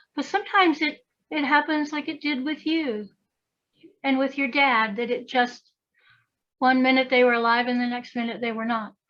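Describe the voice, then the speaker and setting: A woman speaks with an Appalachian accent in a high pitch, her pitch varying in an ordinary way. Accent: Southern Appalachian US. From US South, western North Carolina. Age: 60s. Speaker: priestess and folklorist. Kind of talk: casual chat.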